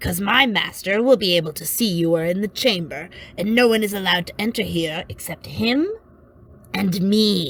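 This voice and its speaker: A woman's put-on character voice at a medium pitch, delivered at a moderate pace. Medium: read story. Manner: blunt, grim, unflinching about gore.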